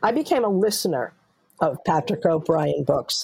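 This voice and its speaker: A woman speaks in a dry, close sound with no echo while music plays in the background. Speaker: author's widow. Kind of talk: casual interview chat.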